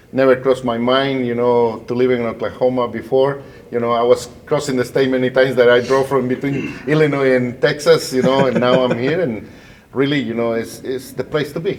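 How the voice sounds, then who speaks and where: Over noticeable background noise, a man in a Spanish accent talks fairly quickly with flat, monotone intonation. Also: medium pitch for a man. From Guatemala. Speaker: bilingual educator, school principal. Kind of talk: interview conversation.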